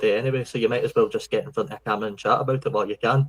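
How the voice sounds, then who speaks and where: With a strong Scottish accent, a man talks at a very fast pace. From Scotland. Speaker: podcast host. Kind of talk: podcast interview. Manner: casual, conversational.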